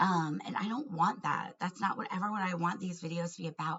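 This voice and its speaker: Vocal fry runs through this woman's speech. Her pitch is medium. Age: 40s. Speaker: vlogger and family court advocate. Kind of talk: personal vlog monologue. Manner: hesitant with fillers and restarts.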